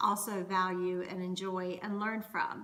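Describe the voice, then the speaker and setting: In an American accent, a woman speaks at a fairly slow pace, with audible room echo and noticeable background noise. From US South, North Carolina. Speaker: Scottish dance performer and culture educator. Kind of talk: educational monologue. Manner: conversational.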